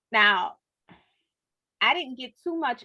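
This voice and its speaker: A woman with a New Orleans accent, bright and sharp in tone and animated, with very wide pitch swings at a fairly slow pace, in a dry, close sound with no echo over a quiet background. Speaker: book club host. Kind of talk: casual interview chat.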